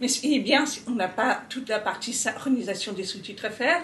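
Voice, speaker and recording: With ordinary pitch variation, the voice comes across somewhat breathy. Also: woman. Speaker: deaf accessibility speaker. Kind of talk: interview answer. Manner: hesitant, many fillers.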